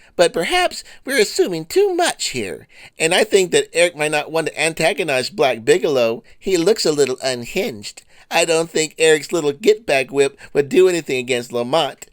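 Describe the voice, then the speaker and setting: A man's put-on character voice at a moderate pace. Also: fairly high pitch for a man. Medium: comedy sketch. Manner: sugary, mock-concerned, arch.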